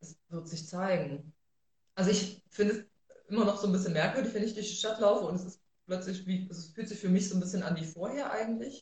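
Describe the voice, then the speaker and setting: A somewhat breathy, medium-pitched woman at a fairly quick pace, with big swings in loudness. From Thuringia, Germany (Rudolstadt). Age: 30s. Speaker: social worker and city council member. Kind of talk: livestream interview. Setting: livestream.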